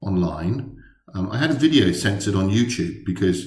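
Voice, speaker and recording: Against a quiet background with audible room echo, a man speaks with lively intonation and a somewhat breathy voice. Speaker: tech blogger. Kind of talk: casual vlog chat. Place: office. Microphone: webcam.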